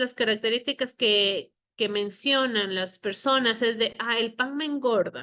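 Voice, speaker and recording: A woman with an unremarkable speaking voice talks at a fairly slow pace, her fairly high pitch showing ordinary variation. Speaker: nutritionist teaching a course. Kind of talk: lecture.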